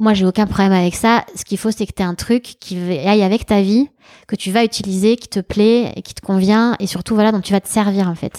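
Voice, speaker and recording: A woman speaks at a fairly quick pace in a medium pitch with a dark, mellow tone and monotone, flat intonation. Her loudness swings widely, and the very clean recording is dry and close, with no echo and a silent background. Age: 40s. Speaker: entrepreneur. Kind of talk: interview. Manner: casual, hesitant.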